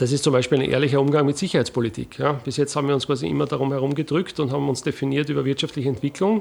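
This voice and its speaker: A man's fairly high voice with vocal fry and an Austrian accent, very even loudness and ordinary pitch variation, at a very fast pace with hardly any pauses. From Austria, Lower Austria (Wiener Neustadt, Bucklige Welt). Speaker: military officer and analyst. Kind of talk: interview.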